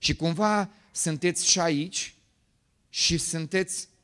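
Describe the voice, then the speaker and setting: Animated and bright with a sharp tone, a man speaks at a high pitch with ordinary pitch variation against a quiet background. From Romania, Bucharest. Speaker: pastor. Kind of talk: sermon. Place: church. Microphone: handheld.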